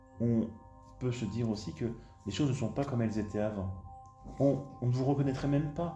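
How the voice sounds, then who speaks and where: Over music in the background, a man talks calmly at medium pitch with ordinary pitch variation and long, frequent pauses. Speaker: hypnotherapist. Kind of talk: guided hypnosis session. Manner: slow, calm.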